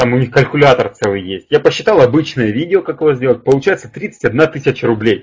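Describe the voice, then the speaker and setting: This man's voice is somewhat breathy, with lively intonation. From Ukraine, Kharkiv. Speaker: public speaking coach. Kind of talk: webinar. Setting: online webinar. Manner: fast; animated.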